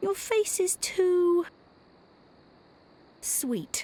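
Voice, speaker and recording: A woman puts on a character voice that is squeaky. Her pitch is extremely high. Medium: video game. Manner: dry, witty, self-assured.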